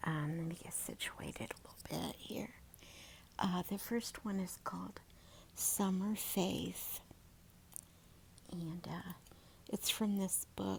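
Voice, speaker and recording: The voice is whispering at a very slow pace. Long, frequent pauses break up the speech. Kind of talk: read story. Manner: soft-spoken.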